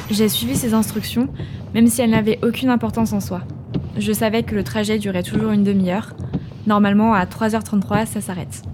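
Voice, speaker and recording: A woman speaks at a fairly quick pace. There is noticeable background noise behind her. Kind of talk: ghost story telling, first-person horror narration.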